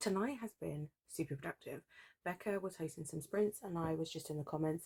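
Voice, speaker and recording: Quiet and fairly low-pitched, a woman speaks at a fairly quick pace with a British accent and ordinary pitch variation. The recording sounds dry and close, with no echo. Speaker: book vlogger. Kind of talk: casual vlog talk. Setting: at home at night. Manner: quiet, keeping voice down.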